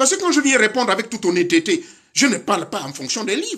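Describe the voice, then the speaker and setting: A man speaks in a raised, projected voice with a high pitch and a bright, sharp tone. His delivery is animated, with very wide pitch swings, at a moderate pace. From Gabon. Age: 60s. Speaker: spiritual teacher. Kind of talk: lecture.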